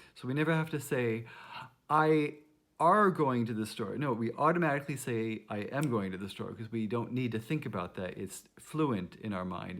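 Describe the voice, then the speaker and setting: A man at a medium pitch with lively intonation and a moderate pace, on a very clean recording with a silent background. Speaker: music teacher. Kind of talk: tutorial. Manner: casual, halting.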